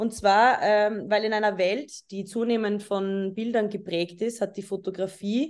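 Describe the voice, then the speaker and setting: A woman at a fairly slow pace with ordinary pitch variation. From Austria, Vienna. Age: 20s. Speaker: photographer. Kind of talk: lecture. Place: home room. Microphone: webcam.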